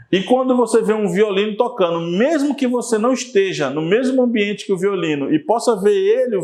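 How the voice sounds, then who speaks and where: A man at a moderate pace with lively intonation, amid audible room echo. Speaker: teacher. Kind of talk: lecture.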